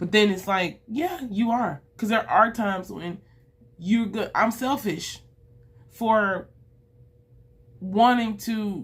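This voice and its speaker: A woman's fairly high, somewhat breathy voice at a very slow pace, with ordinary pitch variation and long, frequent pauses. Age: 30s. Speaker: vlogger. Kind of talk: personal video diary monologue. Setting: recording alone to camera. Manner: halting, repetitive.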